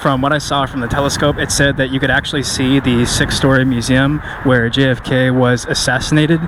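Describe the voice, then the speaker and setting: There is noticeable background noise as a man speaks fairly quickly at a medium pitch. His intonation is monotone and flat. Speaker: fitness vlogger. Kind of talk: vlog narration. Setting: outdoors. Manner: loud. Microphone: no microphone, camera mic.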